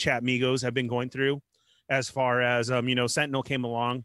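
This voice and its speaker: On a very clean recording with a silent background, a man speaks at a medium pitch with a bright, sharp tone. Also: dry, close sound with no echo. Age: 40s. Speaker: toy collecting podcast co-host. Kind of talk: casual chat.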